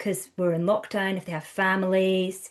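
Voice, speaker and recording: A woman in a Scottish accent at medium pitch and a moderate pace, against a quiet background. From Scotland. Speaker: counsellor and trainer. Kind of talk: podcast interview. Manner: conversational, many fillers.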